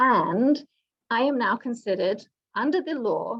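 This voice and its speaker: A woman speaks with a British accent. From Britain. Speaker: government executive director. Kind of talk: panel presentation. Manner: some stammering and repetition.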